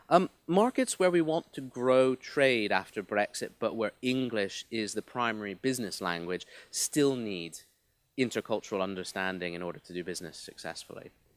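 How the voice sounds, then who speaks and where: Speaking at a moderate pace with a slight mid-Atlantic accent, this voice has lively intonation and big swings in loudness, on a very clean recording with a silent background. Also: man, medium pitch for a man. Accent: slightly mid-Atlantic. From half United States, half UK. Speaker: business representative speaker. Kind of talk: conference speech. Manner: hesitant repetitions.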